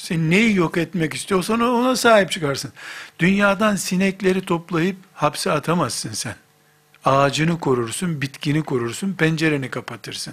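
A man speaks with lively intonation in a high pitch. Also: moderate pace. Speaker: Islamic preacher. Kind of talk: religious lecture.

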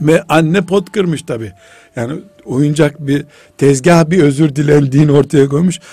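A man speaks with a normal speaking voice at a fairly slow pace. His pitch is fairly high, with ordinary pitch variation. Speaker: Islamic scholar. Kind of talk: religious radio talk. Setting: radio studio.

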